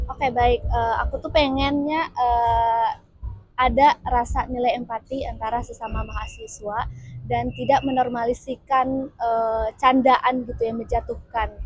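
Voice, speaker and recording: Fairly slow speech from a woman in a Padang accent. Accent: Padang (Minang) accent still present. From West Sumatra, Padang. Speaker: university student interviewee. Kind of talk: documentary interview. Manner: hesitant, many fillers.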